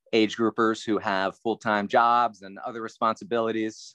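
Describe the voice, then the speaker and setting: With an American accent and a plain, everyday voice, a man speaks at a fairly slow pace and fairly low pitch, the sound dry and close with no echo against a quiet background. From South Central Pennsylvania. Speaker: triathlon coach. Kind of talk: casual chat.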